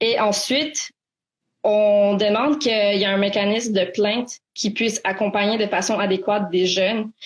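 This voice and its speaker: Her intonation fairly even, a woman speaks at medium pitch and a fairly slow pace. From Quebec, Montreal. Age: 20s. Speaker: student activist. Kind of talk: interview. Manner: halting.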